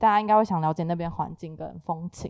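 This woman talks at a fairly quick pace in a normal speaking voice. Her pitch variation is ordinary. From Taiwan. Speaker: podcast host. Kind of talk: casual chat.

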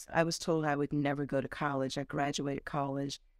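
A woman's very deep, low voice with an American accent, monotone and flat at a very fast pace, on a very clean recording with a silent background. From Delaware, US. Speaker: journalist and TV host. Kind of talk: interview.

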